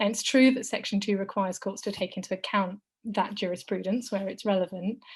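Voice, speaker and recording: A woman with a somewhat breathy, medium-pitched voice talks at a fairly quick pace with fairly even intonation over a quiet background. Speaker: law lecturer. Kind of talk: webinar talk.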